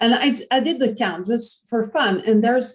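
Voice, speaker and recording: A woman with a French Canadian accent, at a moderate pace. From Quebec, Canada. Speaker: professor. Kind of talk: lecture. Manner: halting, with frequent repetitions and fillers.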